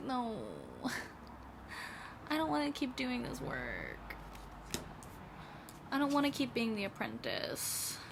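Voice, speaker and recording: A whiny, put-on character voice, female-sounding, fairly slow, over loud background noise. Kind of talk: casual, exaggerated. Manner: whining, drawn-out.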